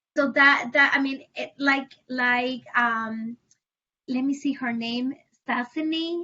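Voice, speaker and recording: In a Spanish accent, a woman speaks with a high pitch and fairly even intonation. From Puerto Rico. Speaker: family advocate. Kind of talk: panel discussion. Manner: halting.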